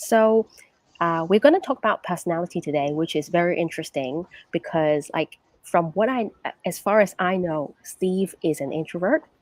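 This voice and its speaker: A woman's fairly low voice with ordinary pitch variation, dry and close with no echo. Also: moderate pace. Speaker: English teacher and podcast host. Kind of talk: live-streamed conversational podcast. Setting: co-working space. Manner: softer voice than usual.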